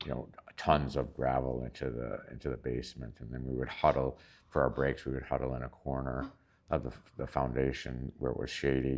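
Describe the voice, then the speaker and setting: Talking at a fairly quick pace, a man uses a very deep, low pitch with vocal fry and monotone, flat intonation. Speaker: retired physician, Habitat volunteer. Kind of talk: interview answer. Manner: hesitant, many fillers.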